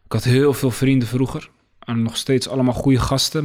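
An unremarkable speaking voice delivers its words at a moderate pace with fairly even intonation. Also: man. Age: 20s. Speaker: tutoring business founder. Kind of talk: casual interview.

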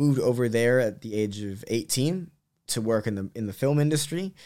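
On a very clean recording with a silent background, a man with an American accent speaks at a medium pitch with ordinary pitch variation. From Los Angeles, US, later London. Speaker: social entrepreneur. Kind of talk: casual interview conversation.

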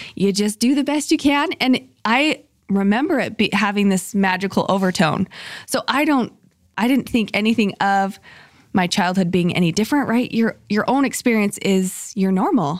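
A woman speaks with an American accent at a medium pitch, her intonation lively and her loudness very even, in an unremarkable speaking voice. The recording is very clean, with a silent background. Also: moderate pace. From Utah, Salt Lake City. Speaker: charity founder and podcast host. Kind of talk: interview.

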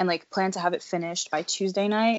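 A woman with an American accent speaks in a normal speaking voice at medium pitch with fairly even intonation. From US, Delaware/Philadelphia area. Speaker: student entrepreneur and author. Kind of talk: interview.

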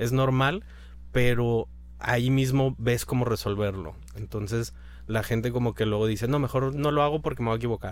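With an ordinary speaking voice, a man talks at medium pitch and a moderate pace, with ordinary pitch variation and very even loudness. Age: 30s. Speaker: food blogger and architect. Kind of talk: interview.

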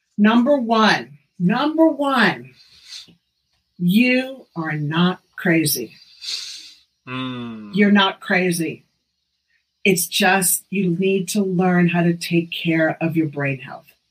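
A woman speaks at a very slow pace with long, frequent pauses. Her medium pitch moves in very wide swings. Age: 60s. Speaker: functional medicine doctor. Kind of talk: casual chat. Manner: animated.

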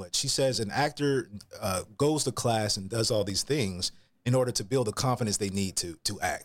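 Heard on a very clean recording with a silent background, a man in an ordinary speaking voice talks at a moderate pace with lively intonation. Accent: American. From US South, Atlanta, Georgia. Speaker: actor and voiceover actor. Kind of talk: casual interview.

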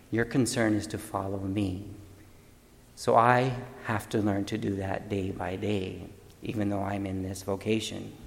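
A man talks at a fairly slow pace in a fairly low, monotone, flat voice. Audible room echo is present. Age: 50s. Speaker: deacon. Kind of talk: homily.

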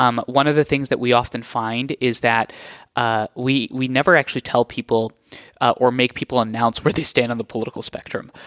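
An ordinary speaking voice moves at a fairly quick pace with fairly even intonation, dry and close with no echo, in a very clean recording with a silent background. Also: man, medium pitch for a man. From US Northeast, New Jersey, partly raised in India. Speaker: nonprofit CEO. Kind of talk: interview.

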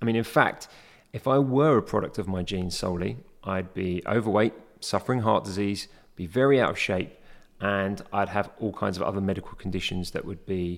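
A man's unremarkable speaking voice, fairly low in pitch and fairly quick in pace, in a very clean recording with a silent background. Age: 40s. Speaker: health and fitness podcast host. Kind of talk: solo educational monologue. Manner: frequent fillers like okay and um.

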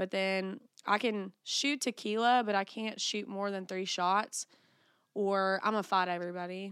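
A woman with an American accent and an ordinary speaking voice talks at a fairly slow pace, medium in pitch with fairly even intonation. The recording is very clean with a silent background, and the sound is dry and close with no echo. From US South, Bible Belt. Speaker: podcast host. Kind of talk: casual chat.

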